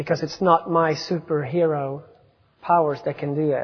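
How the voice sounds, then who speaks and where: With a Swedish accent, a man speaks at a moderate pace in a fairly high pitch for a man. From Sweden. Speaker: missionary. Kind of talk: sermon. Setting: church. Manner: self-deprecating, conversational.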